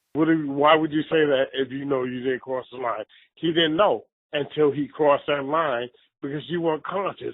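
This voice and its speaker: A man with an American accent, fairly high pitch and a moderate pace. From New York. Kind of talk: casual chat. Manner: animated.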